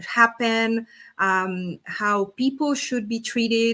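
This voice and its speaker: A woman with a Spanish accent speaks in a bright, sharp tone, her pitch moving in an ordinary way. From Argentina. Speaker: startup executive. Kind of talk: interview. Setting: video call.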